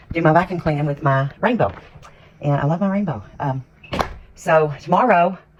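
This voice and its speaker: A woman's very deep, low voice with an American accent and long, frequent pauses, over noticeable background noise. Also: lively intonation, moderate pace. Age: 60s. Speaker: lifestyle vlogger. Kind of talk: casual vlog chat.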